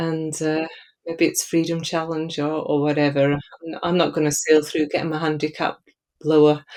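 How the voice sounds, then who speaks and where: A woman speaks in an Edinburgh accent with a very deep, low pitch. Her pace is moderate and her intonation monotone and flat. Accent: Scottish (Edinburgh). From Scotland, Edinburgh. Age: 50s. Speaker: charity walk fundraiser. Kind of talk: interview podcast. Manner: halting.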